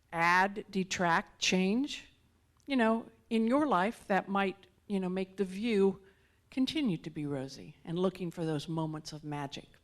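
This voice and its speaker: A woman with a plain, everyday voice and a medium pitch speaks with lively intonation against a quiet background. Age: 60s. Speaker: guest speaker. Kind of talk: sermon.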